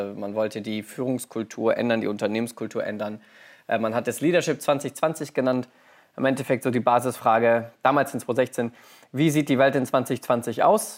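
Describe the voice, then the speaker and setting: The speech moves at a moderate pace with fairly even intonation in a very clean recording against a silent background. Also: man, medium pitch for a man. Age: 30s. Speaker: business innovation manager. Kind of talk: interview. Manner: hesitant with many fillers.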